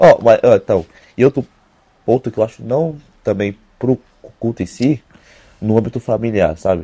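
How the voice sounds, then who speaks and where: In a dark, mellow tone and medium pitch, a man speaks at a moderate pace with ordinary pitch variation and long, frequent pauses, his sound dry and close with no echo. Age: young. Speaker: podcast co-host. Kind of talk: casual chat.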